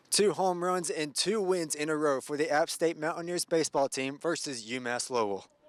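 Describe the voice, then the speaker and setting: A man talks at a moderate pace with a fairly high pitch and hardly any pauses, over noticeable background noise. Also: ordinary pitch variation. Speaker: news reporter. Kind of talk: TV news reporter stand-ups and packages.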